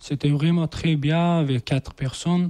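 With an Afghan accent, a man talks at a fairly slow pace. His tone is dark and mellow, and his pitch varies in an ordinary way.

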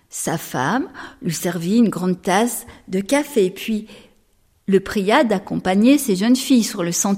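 Reading in an unforced voice

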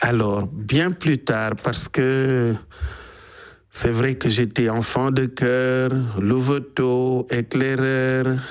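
Speaking at a slow pace, a man has a clear, smooth tone and fairly even intonation. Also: medium pitch for a man.

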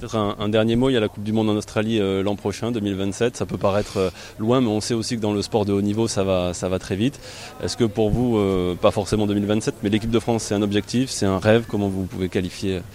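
Low-ish and slightly mellow, a man's voice moves at a fast pace. His intonation stays fairly even, and his pitch is fairly low.

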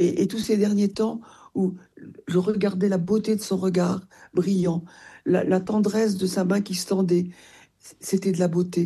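A woman's dark, mellow voice with a slightly husky edge, little pitch movement and a moderate pace. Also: medium pitch for a woman.

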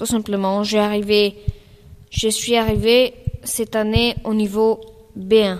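A woman's voice, medium in pitch, slow in pace, with fairly even intonation

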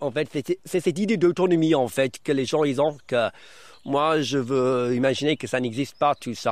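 A man talks with a non-native accent in a medium pitch. He keeps a moderate pace. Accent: foreign, learned French in Brittany.

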